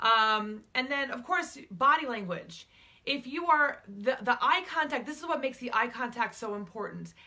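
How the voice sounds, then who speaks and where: A woman's high-pitched voice with a bright, sharp tone, big swings in loudness and a moderate pace. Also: lively intonation. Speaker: relationship coach and public speaker. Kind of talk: talking-head advice video. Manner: conversational with filler words.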